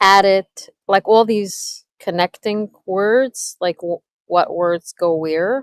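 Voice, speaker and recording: A woman with a slight New York accent talks very slowly with fairly even intonation. The sound is dry and close, with no echo. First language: not English. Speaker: community member. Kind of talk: casual chat.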